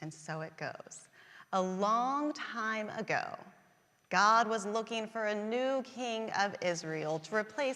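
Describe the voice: Lively intonation in plain reading aloud.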